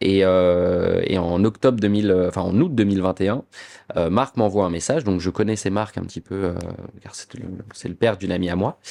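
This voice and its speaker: Fairly quick, fairly low-pitched male speech with fairly even intonation and big swings in loudness. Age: 20s. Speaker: château co-manager, former bartender. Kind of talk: podcast interview. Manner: hesitant, many filler sounds.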